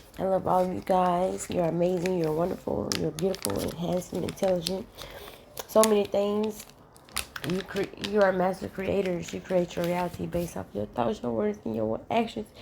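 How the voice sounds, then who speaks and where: Against noticeable background noise, a woman speaks in a fairly low pitch. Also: lively intonation, moderate pace. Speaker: spiritual vlogger. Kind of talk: casual chat. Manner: halting, self-correcting.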